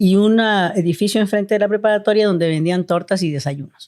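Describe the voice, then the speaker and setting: A woman with a plain, everyday voice speaks at a medium pitch, with ordinary pitch variation. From Mexico City. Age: 60s. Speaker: family doctor. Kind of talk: interview.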